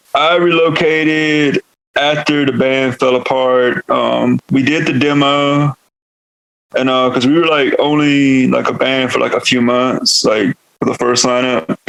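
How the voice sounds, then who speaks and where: A man with a Southern US accent and a fairly high pitch, fairly even intonation, very even loudness, and a dry, close sound with no echo. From US South, North Carolina. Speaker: metal vocalist. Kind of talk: podcast interview. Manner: casual, filler-heavy.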